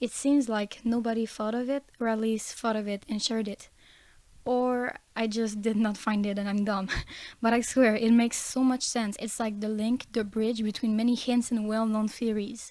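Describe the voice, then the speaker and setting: A woman with a non-native accent speaks in a dark, mellow tone at a fairly high pitch and moderate pace, her intonation monotone and flat, on a very clean recording with a silent background. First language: not English. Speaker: fan theory youtuber. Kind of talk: casual fan-theory video monologue.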